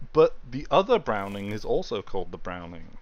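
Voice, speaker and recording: A man with a British accent and ordinary pitch variation against a quiet background. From Britain. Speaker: gaming streamer. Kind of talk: live gameplay stream chat. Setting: live stream. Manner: loud.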